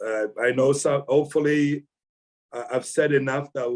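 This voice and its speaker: A man's fairly high-pitched voice at a moderate pace, with fairly even intonation. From Jamaica, moved to Sudbury, Canada at 12. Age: 60s. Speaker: author and father of hockey players. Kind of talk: podcast interview. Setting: video call. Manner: halting.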